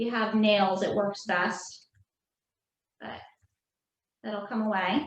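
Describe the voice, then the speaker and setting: With a New Jersey accent, a woman is speaking. She keeps a fairly slow pace. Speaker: craft instructor. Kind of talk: tutorial.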